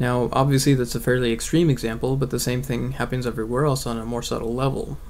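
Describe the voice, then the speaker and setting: Over audible room echo, a man at medium pitch speaks at a fairly quick pace in a monotone, flat intonation. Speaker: atheist video blogger. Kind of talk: video essay monologue. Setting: bedroom.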